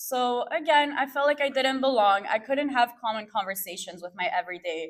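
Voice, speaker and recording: A woman with a French accent speaks in a high pitch with very wide pitch swings. She keeps a moderate pace with hardly any pauses. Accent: French accent from France. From Peru, then Montreal and Ottawa. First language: Spanish. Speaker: fashion stylist and producer. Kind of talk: talk to an audience. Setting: stage with audience.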